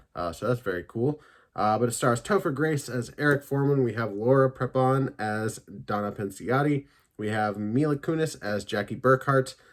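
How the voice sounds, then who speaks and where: Pitch sits at a medium level for this man, who has an unremarkable speaking voice. The pace is moderate and the pitch varies in an ordinary way. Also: very clean recording, silent background. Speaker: YouTube TV and film reviewer. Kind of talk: casual one-take review monologue. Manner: filler-heavy, conversational.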